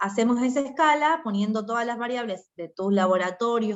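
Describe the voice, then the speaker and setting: In an Argentine accent, a woman talks at a fairly high pitch. She keeps a moderate pace with ordinary pitch variation. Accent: Argentine Spanish (Rioplatense). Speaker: doctor, hematology medical advisor. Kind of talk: medical Q&A talk.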